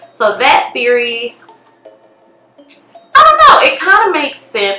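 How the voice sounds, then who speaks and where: Music plays behind a woman who talks with ordinary pitch variation. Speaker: YouTuber. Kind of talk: casual vlog commentary. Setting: basement at home. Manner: loud.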